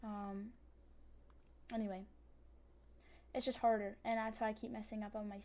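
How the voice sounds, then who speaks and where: Flat, monotone speech comes at a moderate pace with long, frequent pauses and audible room echo. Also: woman, fairly high pitch for a woman. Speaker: streamer and digital artist. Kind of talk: casual livestream chat while drawing. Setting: livestream at computer. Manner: rambling with many fillers.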